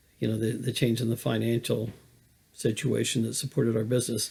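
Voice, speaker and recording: A man speaks at a fairly quick pace in a monotone, flat intonation. His voice is somewhat breathy. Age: 60s. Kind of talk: personal testimony monologue. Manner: halting, many fillers.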